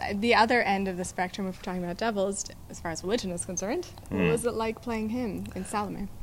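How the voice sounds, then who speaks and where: A woman speaks at a very fast pace with fairly even intonation. Light background noise sits behind her. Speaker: arts interviewer. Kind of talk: interview questions. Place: hall.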